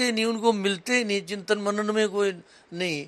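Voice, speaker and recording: Speaking at a moderate pace, the man has a high-pitched voice. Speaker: veteran party politician, former professor. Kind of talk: interview.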